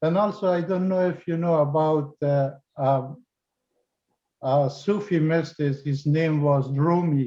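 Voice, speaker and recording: A man's dark, mellow voice at a fairly high pitch, very slow pace, fairly even intonation, and a non-native accent. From Afghanistan. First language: not English. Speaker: participant. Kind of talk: Q&A question. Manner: halting.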